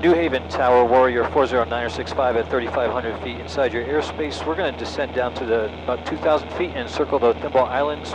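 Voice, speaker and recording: Over noticeable background noise, a man talks at a very fast pace with hardly any pauses, the sound dry with no echo. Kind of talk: radio call to air traffic control. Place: plane. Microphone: headset.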